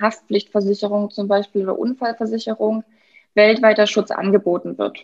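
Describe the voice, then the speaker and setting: The voice belongs to a woman and is somewhat breathy. She keeps a moderate pace. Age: 20s. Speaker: financial advisor. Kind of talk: interview.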